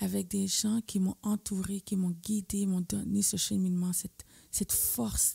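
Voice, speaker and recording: Speaking fairly slowly, a woman comes through with a dry, close sound that has no echo. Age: 40s. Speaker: guest sharing mental health experience. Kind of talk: testimony.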